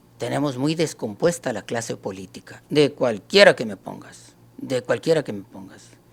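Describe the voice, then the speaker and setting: A man at a moderate pace, lively in intonation, with hardly any pauses. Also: medium pitch for a man. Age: 60s. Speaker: writer and historian. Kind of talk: debate. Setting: live stream. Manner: halting.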